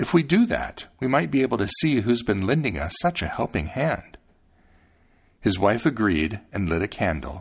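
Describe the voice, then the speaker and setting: A man speaks at a fairly low pitch and a moderate pace, somewhat breathy. His pitch swings very widely. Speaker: podcast host reading fairy tales aloud. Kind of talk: scripted fairy-tale narration, storybook reading aloud. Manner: measured, storyteller's pace, gently expressive.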